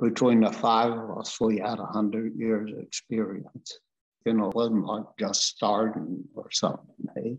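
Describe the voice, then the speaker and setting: A man with a western Canadian accent, medium pitch, fairly even intonation, and a fairly slow pace. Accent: rural western Canadian. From rural Alberta, Canada. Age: 80s+. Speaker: farmer. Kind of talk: life story interview. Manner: casual, plainspoken.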